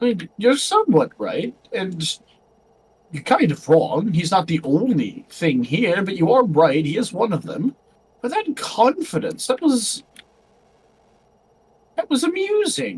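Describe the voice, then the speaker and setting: A put-on character voice at fairly high pitch moves at a fairly slow pace, broken by long, frequent pauses. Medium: actual play. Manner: amused, teasing.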